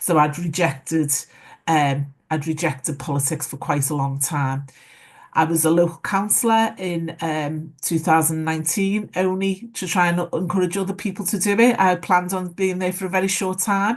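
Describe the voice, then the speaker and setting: A Liverpool accent at a moderate pace, with ordinary pitch variation, over a quiet background. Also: woman, fairly low pitch for a woman. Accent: Scouse. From Liverpool, northern England. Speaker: former mayor. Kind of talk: panel discussion.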